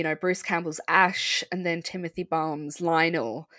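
A woman with an Irish accent talks at a moderate pace in a fairly low pitch with ordinary pitch variation, recorded very cleanly against a silent background with a dry, close sound and no echo. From Ireland. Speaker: podcast host. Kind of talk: casual podcast chat.

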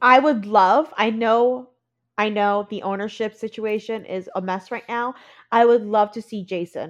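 In an ordinary speaking voice, a woman with a fairly high pitch speaks at a fairly slow pace, her loudness swinging widely over a quiet background. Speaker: podcast host. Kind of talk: casual chat. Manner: excitable.

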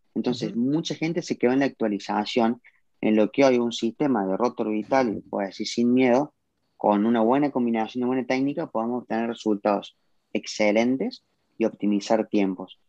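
A man's medium-pitched voice in a Cordoban Argentine accent, dark and mellow in tone, with ordinary pitch variation, a fairly quick pace and a dry, close sound with no echo. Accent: Argentine Spanish, Córdoba. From Argentina, Córdoba. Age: 20s. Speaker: car detailing entrepreneur. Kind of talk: live video interview.

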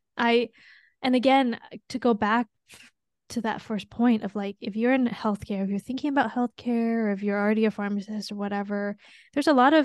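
At a very fast pace, a woman with a fairly high pitch keeps her intonation fairly even. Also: dry, close sound with no echo, quiet background. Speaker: pharmacist podcast host. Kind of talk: casual chat.

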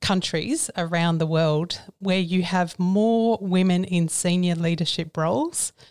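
Fairly low for a woman, her voice moves at a fairly slow pace with fairly even intonation, dry and close with no echo on a very clean recording with a silent background. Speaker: psychologist and company CEO. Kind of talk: interview. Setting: studio.

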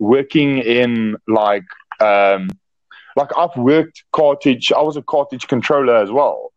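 A man talks with a South African accent and a fairly high pitch. The background is quiet. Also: dry, close sound with no echo.

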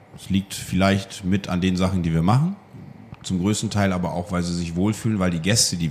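Speech comes at a moderate pace with fairly even intonation. Background noise is noticeable. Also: man. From East Frisia, northern Germany. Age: 30s. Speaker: wine bar owner. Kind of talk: interview. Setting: in his wine bar.

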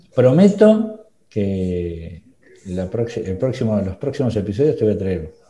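A very slow, somewhat breathy delivery with a dark, mellow tone and ordinary pitch variation. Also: man. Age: 40s. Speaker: podcast host, marketing consultant. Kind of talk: casual interview chat.

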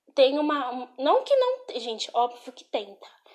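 A woman is speaking. Her pace is very slow. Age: 20s. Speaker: podcaster. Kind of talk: casual chat. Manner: animated.

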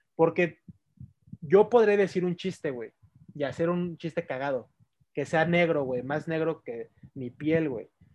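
A man with a Mexican accent talks at a fairly slow pace, leaving long, frequent pauses. His fairly high pitch shows ordinary variation. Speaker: podcast co-host. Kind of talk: casual chat.

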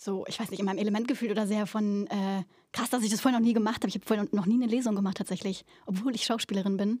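On a very clean recording with a silent background, a woman speaks in a fairly high, somewhat breathy voice with fairly even intonation. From Berlin, Germany. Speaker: stage actress. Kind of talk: casual interview. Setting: theatre venue.

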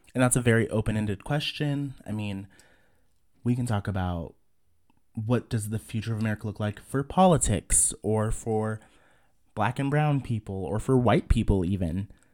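Using a normal speaking voice, a man with a fairly low pitch and ordinary pitch variation talks at a moderate pace. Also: very clean recording, silent background. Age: 30s. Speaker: podcast host. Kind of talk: casual monologue.

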